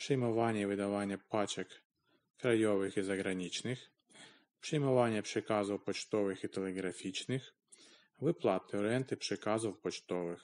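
At a moderate pace, a man talks, his pitch varying in an ordinary way. Behind him the background stays quiet. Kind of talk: text read aloud by a language learner.

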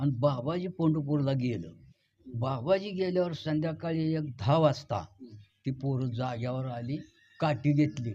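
This male voice sits at a fairly high pitch with ordinary pitch variation. It sounds somewhat breathy. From Maharashtra, Pandharpur area. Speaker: elderly villager sharing memories. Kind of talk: oral history interview.

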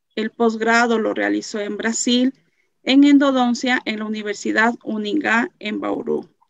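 A woman talks fairly slowly, showing ordinary pitch variation, against a quiet background. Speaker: moderator. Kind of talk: formal intro and closing. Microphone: video call.

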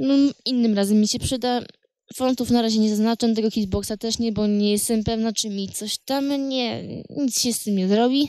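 A woman with a dark, mellow tone speaks at a moderate pace with fairly even intonation. The sound is dry with no echo, over a quiet background. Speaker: game commentator. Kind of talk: casual gameplay commentary.

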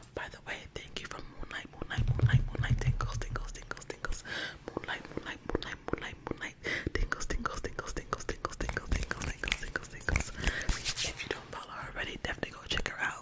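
Loud background noise fills the clip. A woman speaks over it at a fairly quick pace. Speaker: ASMR creator. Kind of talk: casual vlog chat. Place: home room. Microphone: studio mic.

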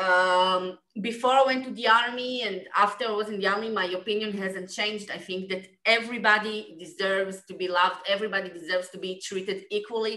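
A woman talks fairly quickly in an Israeli accent, with hardly any pauses and fairly even intonation at a medium pitch. Room echo is audible, but the background is quiet. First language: Hebrew. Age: 20s. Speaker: former soldier, film subject. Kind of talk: panel Q&A. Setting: video call. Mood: earnest, thoughtful. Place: home room. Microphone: video call.

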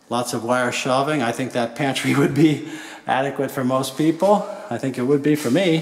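A man is speaking. His pace is moderate. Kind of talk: home tour commentary. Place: kitchen. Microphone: phone near.

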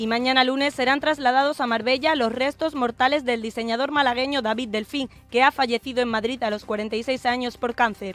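A woman with a high voice talks at a fairly quick pace, her intonation fairly even. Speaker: broadcasting student. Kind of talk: radio news headlines.

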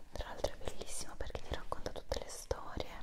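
A woman whispers over noticeable background noise. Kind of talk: ASMR video. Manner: whispered.

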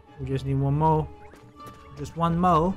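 With faint music in the background, a man with a fairly high pitch speaks at a fairly slow pace and fairly even intonation.

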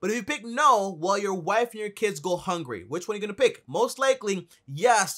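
A man's bright, sharp, high-pitched voice with very wide pitch swings, a fairly quick pace, and a quiet background. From Dominican Republic. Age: 20s. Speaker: YouTuber on personal finance. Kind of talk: vlog monologue. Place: home room.

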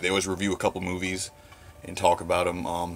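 Very fast delivery in a monotone, flat intonation, with music in the background. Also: man. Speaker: horror fan vlogger. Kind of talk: casual vlog chat. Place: home room. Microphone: phone near.

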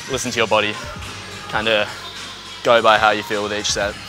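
Over clear music in the background, a man talks at a very fast pace in a monotone, flat intonation with a dry sound and no echo. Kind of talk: casual vlog chat. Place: gym. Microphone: lapel.

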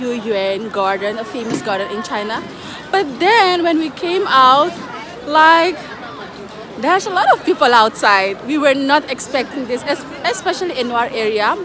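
Crowd noise fills the background as a woman talks. She speaks at a fairly slow pace with lively intonation. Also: dry sound with no echo. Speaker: vlogger. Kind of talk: casual vlog chat. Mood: excited, cheerful. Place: street. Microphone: phone near.

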